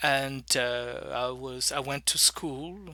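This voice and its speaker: Recorded very cleanly against a silent background, a man with a bright, sharp tone speaks with fairly even intonation. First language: French. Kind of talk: teaching talk.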